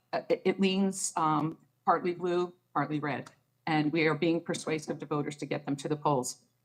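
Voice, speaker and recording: A woman's very deep, low voice with an American accent, fairly even intonation and a moderate pace. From New Jersey. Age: 60s. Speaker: political activist and local elected official. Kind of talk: radio interview.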